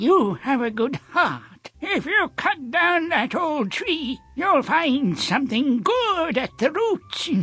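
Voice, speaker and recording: In a put-on character voice, a high-pitched speaker goes at a very slow pace with hardly any pauses. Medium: video game.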